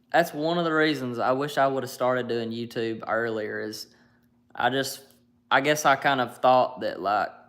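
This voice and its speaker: A man speaks at a moderate pace and medium pitch, his intonation fairly even. The recording is very clean, with a silent background. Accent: Alabama. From US South, North Alabama. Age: 20s. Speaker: YouTuber live streamer. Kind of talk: casual chat.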